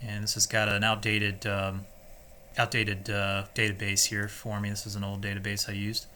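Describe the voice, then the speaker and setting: The man's bright, sharp tone sits at a fairly low pitch, delivered in a monotone, flat intonation at a fairly quick pace. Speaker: software tutorial presenter. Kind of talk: screen-recorded tutorial. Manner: casual, halting with many fillers; fast.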